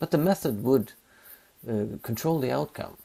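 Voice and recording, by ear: At a moderate pace, a man speaks at medium pitch with a dark, mellow tone, vocal fry and ordinary pitch variation.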